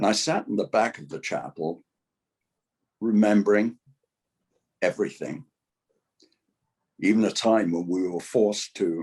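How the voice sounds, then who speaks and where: An English accent at a moderate pace, with big swings in loudness, ordinary pitch variation, and long, frequent pauses. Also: man, fairly low pitch for a man. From England. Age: 80s+. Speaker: lifestyle coach. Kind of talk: interview testimony.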